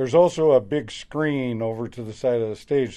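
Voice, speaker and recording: A man's voice with a dark, mellow tone. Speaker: auctioneer. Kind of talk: interview answer, casual promotional talk.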